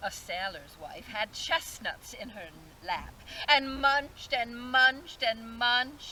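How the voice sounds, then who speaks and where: A female-sounding, put-on character voice comes through at a high pitch and a fairly slow pace. Clear background noise runs underneath. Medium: stage play. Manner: incantatory, sinister.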